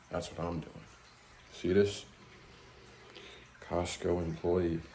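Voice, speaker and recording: A man with an American accent speaks at a very deep, low pitch in a monotone, flat delivery. His pace is very slow, and there is audible room echo. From USA. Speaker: travel vlogger. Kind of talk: vlog narration.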